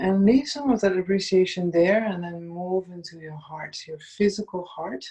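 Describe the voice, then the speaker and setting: Speech in a Dutch accent with hardly any pauses. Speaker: meditation guide. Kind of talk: guided meditation. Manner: slow, soothing.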